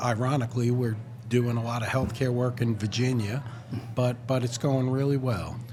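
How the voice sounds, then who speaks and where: A man with a New York accent and medium pitch, against noticeable background noise. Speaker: architect. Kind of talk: casual chat. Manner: halting, many fillers.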